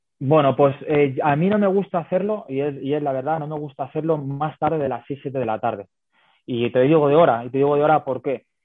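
A man with a normal speaking voice talks at a fairly quick pace. His pitch is fairly high, with ordinary variation. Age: 30s. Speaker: women's football fitness coach. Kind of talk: interview.

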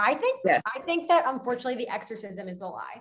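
A somewhat breathy woman with an American accent, talking at a very fast pace with lively intonation. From Westchester, New York. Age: 20s. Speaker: dating content creator. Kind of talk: casual chat. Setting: video call.

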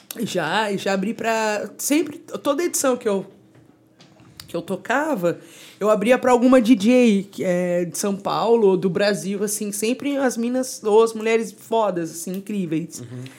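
A woman's normal speaking voice, fairly high in pitch, with lively intonation and a fairly slow pace. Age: 30s. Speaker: DJ. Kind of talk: casual chat.

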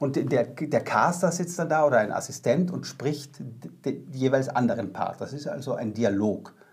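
Lively intonation marks a man's fairly high pitch. He keeps to a fairly slow pace. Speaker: actor. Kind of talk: interview. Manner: halting.

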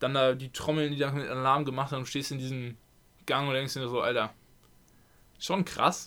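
With a bright, sharp tone and medium pitch, a man speaks at a fairly quick pace in a monotone, flat intonation, broken by long, frequent pauses. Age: 20s. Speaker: handball player. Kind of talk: casual chat. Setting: at home.

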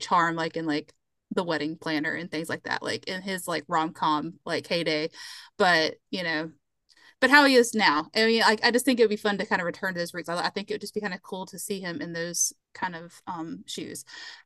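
In a Southern US accent, a woman speaks at a fairly quick pace with a medium pitch and ordinary pitch variation, her loudness swinging widely. The sound is dry and close with no echo, over a quiet background. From US South, South Carolina. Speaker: museum curator, podcast guest. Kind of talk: casual chat.

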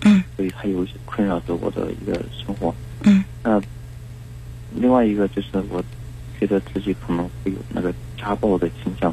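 A man speaks with a very deep, low pitch that swings very widely, leaving long, frequent pauses. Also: fairly quick pace. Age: 20s. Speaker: radio hotline caller. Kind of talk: personal advice call. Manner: halting.

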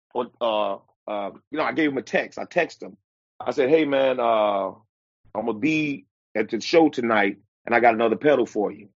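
With an American accent, a man of medium pitch talks at a fairly quick pace, using lively intonation, big swings in loudness and long, frequent pauses. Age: 50s. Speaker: blues musician and bus driver. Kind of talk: casual interview.

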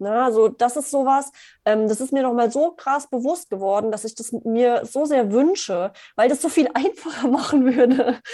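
This woman's voice is high in pitch, with a dark, mellow tone. She talks at a moderate pace. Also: ordinary pitch variation. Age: 30s. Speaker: business coach. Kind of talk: interview.

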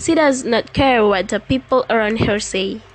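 A woman's fairly high-pitched voice with an Indonesian accent, set against noticeable background noise. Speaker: podcaster. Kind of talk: storytelling.

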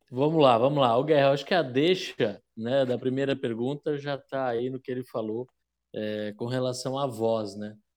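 Over a quiet background, a man speaks at a moderate pace and medium pitch with fairly even intonation, a plain, everyday voice. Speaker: podcast co-host commentator. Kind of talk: casual banter.

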